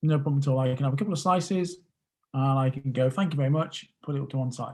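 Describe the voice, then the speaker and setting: A man's somewhat breathy, fairly high voice in a British accent, with ordinary pitch variation. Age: 40s. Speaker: podcast guest, emotional eating coach. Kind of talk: interview.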